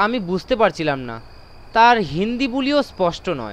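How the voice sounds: Speaking at a moderate pace, a man has a high pitch, big pitch swings and a fairly bright tone.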